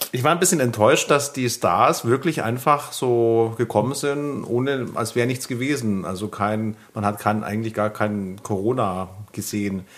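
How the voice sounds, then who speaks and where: Medium in pitch, a man uses an ordinary speaking voice at a moderate pace with ordinary pitch variation. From Bavaria, Germany. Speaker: podcast co-host. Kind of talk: casual chat.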